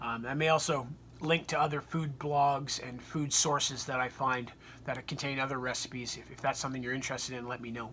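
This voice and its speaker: A man speaks at a fairly quick pace with a medium pitch and a bright, sharp tone. His intonation is monotone and flat, with big swings in loudness. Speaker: weight loss surgery vlogger. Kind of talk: casual talk to camera.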